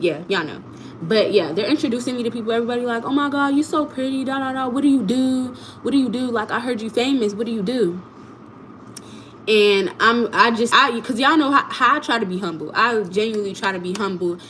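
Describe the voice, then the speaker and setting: Very fast, fairly high-pitched female speech with lively intonation over noticeable background noise. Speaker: content creator. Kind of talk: livestream storytelling. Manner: animated.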